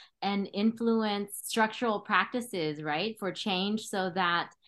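This woman has an ordinary speaking voice at a medium pitch. She talks at a fairly slow pace with ordinary pitch variation. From Cambodia, raised in California. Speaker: guest podcast host, public health director. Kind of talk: interview hosting. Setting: remote call.

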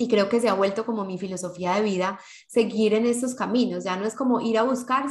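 The woman talks fairly quickly in a somewhat breathy, fairly high voice whose pitch varies in an ordinary way. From Colombia (Medellín). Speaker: podcast co-host. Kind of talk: casual chat.

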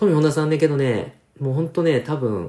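The man's tone is dark and mellow. His voice is somewhat breathy. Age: 40s. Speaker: rapper and podcast host. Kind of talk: casual solo talk. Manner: many hesitation fillers.

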